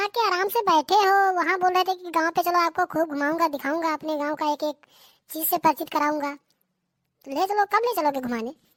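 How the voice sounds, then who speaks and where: A cartoonish character voice moves along at a fairly quick pace. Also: woman, extremely high pitch for a woman, dry, close sound with no echo. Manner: standard urban Hindi, bossy and impatient.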